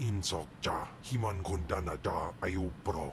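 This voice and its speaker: Using a put-on character voice, a man speaks very deep and low at a fairly slow pace amid loud background noise. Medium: video game. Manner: gruff, alien language.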